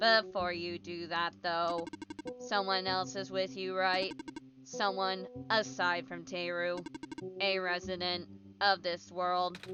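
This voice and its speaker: Someone uses a put-on character voice at a fairly slow pace with long, frequent pauses, over clear background noise. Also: woman, medium pitch for a woman. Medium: game stream. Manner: formal, measured, cryptic.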